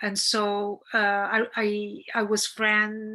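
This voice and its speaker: Against a quiet background, a woman with an Italian accent speaks at a medium pitch in a bright, sharp tone. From central Italy. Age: 50s. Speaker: documentary director. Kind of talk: interview Q&A. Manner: halting, many fillers and repetitions.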